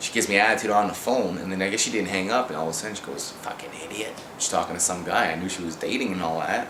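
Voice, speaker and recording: A man talks at a very fast pace in a very deep, low voice with ordinary pitch variation. Audible room echo and noticeable background noise fill the recording. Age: 30s. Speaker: amateur rapper. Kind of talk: video message. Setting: at home, indoors. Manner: rambling, halting.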